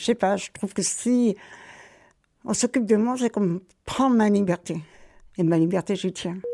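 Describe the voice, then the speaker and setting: A woman's dark, mellow voice at medium pitch, moderate pace and ordinary pitch variation, with long, frequent pauses and a dry, close sound with no echo. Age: 70s. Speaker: volunteer cook. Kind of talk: testimony. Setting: kitchen.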